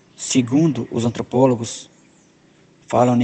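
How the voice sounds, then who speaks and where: The speaker, in an Amazonian accent, talks at a fairly slow pace with monotone, flat intonation. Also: man. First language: Tikuna (speaking Portuguese). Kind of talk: interview answers.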